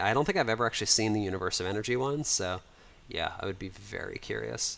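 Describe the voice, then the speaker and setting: Speaking very fast with an American accent, a man at medium pitch shows vocal fry and ordinary pitch variation. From United States. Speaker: livestreamer and 3D modeler. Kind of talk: livestream chat and walkthrough. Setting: home livestream. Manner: casual, conversational with fillers.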